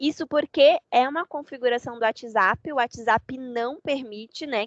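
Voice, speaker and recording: The sound is dry and close, without any echo. The woman talking shows ordinary pitch variation. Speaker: software trainer. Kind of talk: online training session. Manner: fast.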